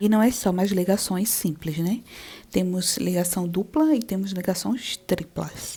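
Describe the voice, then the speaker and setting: Speaking fairly slowly, a woman uses a dark, mellow tone at a medium pitch with ordinary pitch variation. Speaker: chemistry teacher. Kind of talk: lecture. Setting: video lesson.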